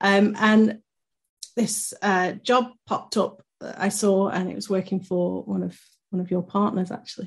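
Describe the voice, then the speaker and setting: A woman speaks at a fairly slow pace in a medium pitch, somewhat breathy. Her intonation is monotone and flat over a quiet background. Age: 30s. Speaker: podcast co-host, marketing director. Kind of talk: casual chat.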